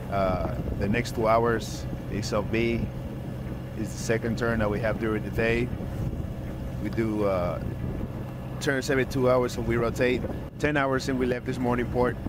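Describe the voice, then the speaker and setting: A man at a moderate pace with long, frequent pauses, dry sound with no echo, and noticeable background noise. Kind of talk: casual vlog chat. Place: boat. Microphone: phone near.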